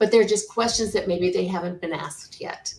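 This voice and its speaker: In a plain, everyday voice, a woman speaks at a moderate pace and medium pitch with fairly even intonation. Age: 60s. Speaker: senior move manager. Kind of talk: interview.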